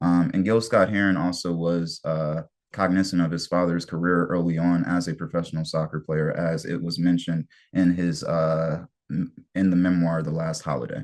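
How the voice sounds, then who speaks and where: In a Detroit accent, a man talks at a moderate pace with a very deep, low pitch and fairly even intonation against a quiet background. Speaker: soccer community organizer presenting history. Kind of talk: online history presentation.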